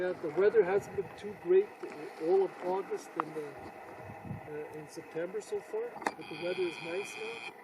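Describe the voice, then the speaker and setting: Over noticeable background noise, a man talks fairly slowly, his loudness swinging widely. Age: 60s. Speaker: vlogger. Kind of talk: casual chat. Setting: outdoors. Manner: halting.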